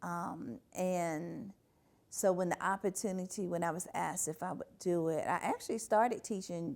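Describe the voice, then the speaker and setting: A woman with an ordinary speaking voice talks at a moderate pace and medium pitch with ordinary pitch variation, on a very clean recording with a silent background. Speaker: university graduate and long-time university staff member, oral history interviewee. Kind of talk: oral history interview answer. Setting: quiet room at a library, interview recording.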